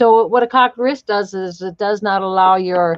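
Against a quiet background, a woman speaks with ordinary pitch variation in a dry sound with no echo. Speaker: riding instructor. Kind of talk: instructional commentary. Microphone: video call.

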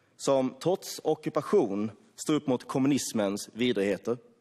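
A man with a dark, mellow tone talks fairly slowly over a quiet background. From Sweden. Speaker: member of parliament. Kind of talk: parliamentary speech, formal debate oratory. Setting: parliament chamber. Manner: forceful, sarcastic and accusatory, with a formal tone; passionate, solemn praise when thanking the Hungarian leader. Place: hall. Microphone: podium.

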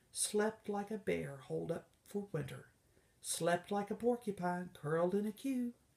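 A natural reading voice comes through in this recording.

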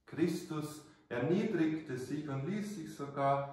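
The voice has a warm tone and lively intonation at a very slow pace. Strong room echo is heard. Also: man. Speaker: priest. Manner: formal, measured, warm storytelling, earnest and didactic. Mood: calm, earnest. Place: church. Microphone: camera far.

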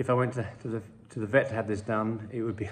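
A man is speaking. His voice is somewhat breathy. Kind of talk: tutorial. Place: home room. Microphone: phone near.

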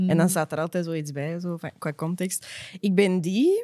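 With a quiet background behind her, a woman speaks in a fairly low, dark and mellow voice with fairly even intonation. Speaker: podcast co-host. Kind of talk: casual podcast chat. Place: studio. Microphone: studio mic.

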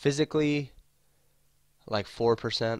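A man's voice comes across dry and close, without any echo. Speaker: gaming YouTuber. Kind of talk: gameplay commentary. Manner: casual, halting with fillers.

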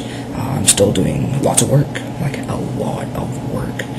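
Loud background noise behind a man speaking. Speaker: vlogger. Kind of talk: casual talk to camera. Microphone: webcam.

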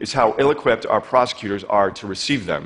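A fairly quick male voice with ordinary variation in pitch. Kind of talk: prepared public talk. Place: stage.

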